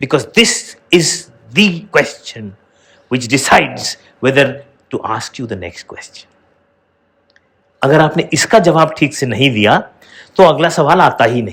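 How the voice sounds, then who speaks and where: At a fairly slow pace with long, frequent pauses, a man with a fairly high pitch and vocal fry speaks with lively intonation and big swings in loudness. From India. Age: 60s. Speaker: educator and motivational show host. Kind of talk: motivational talk to students.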